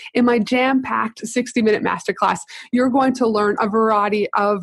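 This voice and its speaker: In a dry, close sound with no echo and a quiet background, a woman speaks in a fairly high, somewhat breathy voice with an animated tone. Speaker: podcast host, business consultant. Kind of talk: interview conversation.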